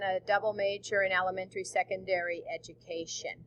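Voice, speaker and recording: A woman with a normal speaking voice talks at a medium pitch and a moderate pace. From US Midwest and elsewhere, moved around. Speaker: teacher. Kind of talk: recorded presentation.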